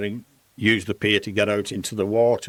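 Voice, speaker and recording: In a very clean recording with a silent background, a man with a Lancashire accent and a fairly low pitch talks at a fairly quick pace. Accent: Lancashire (Bolton). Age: 80s+. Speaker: fitness industry pioneer, gym founder. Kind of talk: interview storytelling. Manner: animated.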